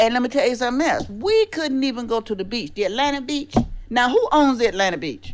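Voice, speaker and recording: A woman speaks at a high pitch with lively intonation. Her pace is very fast. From US South, South Carolina. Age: 70s. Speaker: podcast co-host. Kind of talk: casual chat.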